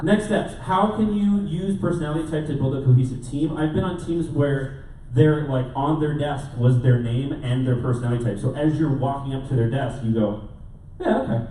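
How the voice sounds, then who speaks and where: Noticeable background noise and audible room echo surround this man's voice. He speaks at a moderate pace with a fairly high pitch and ordinary pitch variation. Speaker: conference speaker. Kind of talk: conference talk. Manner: loud.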